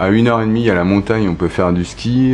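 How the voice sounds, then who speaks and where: Background noise is noticeable. A man talks with ordinary pitch variation. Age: 40s. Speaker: photographer. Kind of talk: interview. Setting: recorded at home. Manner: halting, many hesitations.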